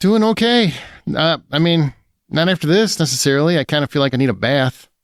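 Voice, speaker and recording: In a very clean recording with a silent background, a man with a plain, everyday voice and fairly high pitch talks at a fairly quick pace, his intonation lively and his loudness very even. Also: dry, close sound with no echo. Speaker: podcast host and film critic. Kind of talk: casual podcast chat; dramatic scripted narration.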